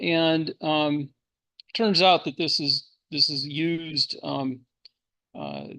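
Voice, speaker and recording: A man with a fairly high pitch and a bright, sharp tone, fairly even in intonation, at a very slow pace with long, frequent pauses, over a quiet background. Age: 60s. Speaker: amateur telescope maker giving a workshop talk. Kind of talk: technical presentation. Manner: halting, many fillers.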